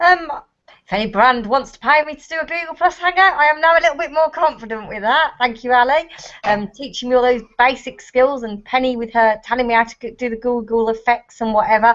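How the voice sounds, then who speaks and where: A woman with a Birmingham accent talks at a fairly quick pace and a high pitch. Her intonation is lively and her loudness swings widely. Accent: Brummie. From Birmingham, England. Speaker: parenting blogger. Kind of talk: casual chat. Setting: video call.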